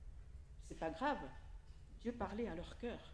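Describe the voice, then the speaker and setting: A woman with an Italian accent, vocal fry and lively intonation at a fairly slow pace, with audible room echo. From Italy. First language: Italian (speaking French). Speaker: preacher. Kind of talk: sermon.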